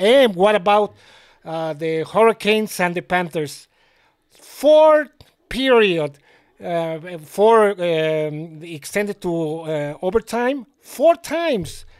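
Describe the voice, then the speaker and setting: A man with a Mexican accent at a very slow pace, lively intonation and big swings in loudness, in a very clean recording over a silent background. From Mexico City, Mexico. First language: Spanish. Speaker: sports betting tipster. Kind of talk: casual video monologue. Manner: halting, many fillers.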